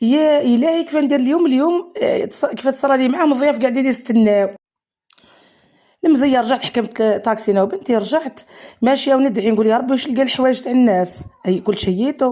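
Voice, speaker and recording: Speaking at a fairly quick pace, a woman keeps a high pitch with ordinary variation and very even loudness. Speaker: cook, food vlogger. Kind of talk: casual chat. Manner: animated.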